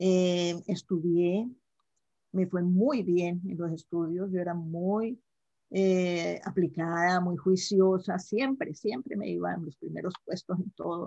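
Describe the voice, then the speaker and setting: A woman speaks at a very slow pace in a fairly low voice. Her tone is dark and mellow, with fairly even intonation. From Colombia, Cali. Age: 70s. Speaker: life mentor. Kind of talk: casual interview.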